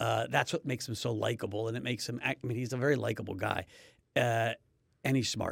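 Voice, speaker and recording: A man talks at a very fast pace with vocal fry. His pitch is medium, with fairly even intonation. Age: 50s. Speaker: podcast host. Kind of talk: casual chat.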